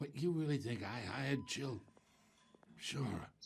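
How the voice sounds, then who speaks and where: A raspy, put-on character voice from a man, medium in pitch with ordinary variation, at a fairly slow pace. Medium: video game. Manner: smug, manipulative.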